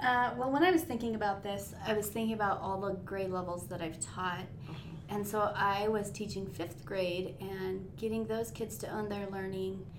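Amid noticeable background noise and audible room echo, a woman with an American accent talks at a moderate pace and medium pitch with ordinary pitch variation. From northern Nevada. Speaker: instructional coach, former teacher. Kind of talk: casual chat.

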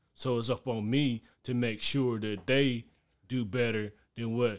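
Speaking in a plain, everyday voice, a man uses medium pitch and ordinary pitch variation at a fairly slow pace. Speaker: podcast host. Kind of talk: casual banter, live podcast.

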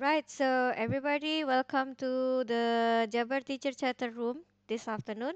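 With an Indonesian accent, a woman speaks at a high pitch and moderate pace. The sound is dry and close with no echo, over a quiet background. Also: fairly even intonation. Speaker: teacher, session moderator. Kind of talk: online teacher discussion. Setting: video call.

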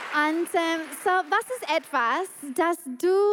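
A woman is speaking. Her intonation is lively. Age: 40s. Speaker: pastor. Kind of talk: women's church event talk. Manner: animated.

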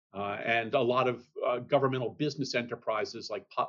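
At a fairly quick pace, a man speaks at a medium pitch in a plain, everyday voice. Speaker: accounting standards expert. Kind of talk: interview.

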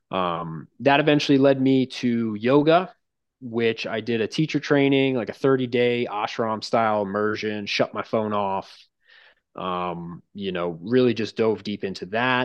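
An ordinary speaking voice with an American accent moves at a fairly slow pace, with ordinary pitch variation. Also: man, medium pitch for a man. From Long Island, New York. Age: 20s. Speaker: strength coach. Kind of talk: casual chat.

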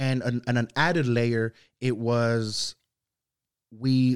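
A man talks at a medium pitch. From Santa Ana, California (born in Zacatecas, Mexico). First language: Spanish. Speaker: youth mentor. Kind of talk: casual interview.

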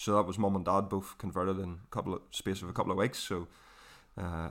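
A moderate-paced voice with a Northern Irish accent and monotone, flat intonation, on a very clean recording with a silent background. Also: man. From Northern Ireland, Portadown. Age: 20s. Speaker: trainee minister. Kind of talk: testimony.

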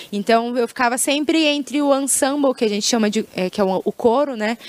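A woman with lively intonation comes through with a dry, close sound and no echo, though noticeable background noise is present. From Brazil, Maringá (Paraná). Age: 20s. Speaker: singer and singing teacher. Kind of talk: casual interview.

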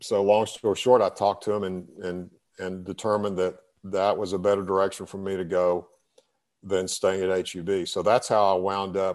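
Against a quiet background, a man speaks at a moderate pace with fairly low pitch and monotone, flat intonation. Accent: Texan. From Texas. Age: 60s. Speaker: retired business owner and author. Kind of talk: interview. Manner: halting, many repetitions.

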